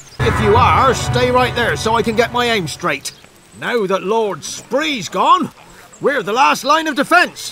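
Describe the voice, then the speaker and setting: Over music in the background, a man does a put-on character voice that is gruff and extremely high-pitched, raised and projected, with very wide pitch swings at a fairly slow pace. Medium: video game. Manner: gruff, mocking.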